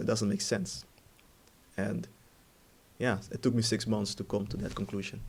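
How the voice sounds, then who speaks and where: Somewhat breathy male voice, fairly low in pitch, at a moderate pace. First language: Dutch. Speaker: ex-Jehovah's Witness vlogger. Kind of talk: personal testimony monologue. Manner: halting, many fillers.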